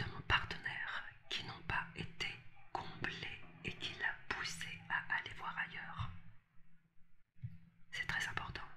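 Slowly, very slowly, a woman gets her words out. Her voice is a whisper. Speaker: relationship coach. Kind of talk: advice talk to camera. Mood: empathetic, earnest.

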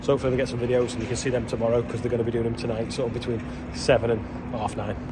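A man rushes along at a very fast pace amid loud background noise. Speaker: contractor. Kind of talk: casual vlog chat. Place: farm machine. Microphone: phone near.

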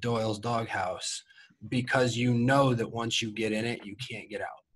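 Somewhat breathy speech from a man with a medium pitch. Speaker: podcast co-host, former college football player. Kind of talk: casual chat.

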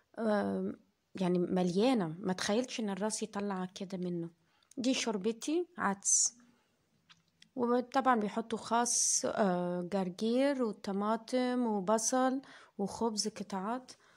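A woman with an Egyptian accent, fairly high in pitch with ordinary pitch variation, at a very slow pace, in a very clean recording against a silent background. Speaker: food vlogger. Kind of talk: casual vlog narration.

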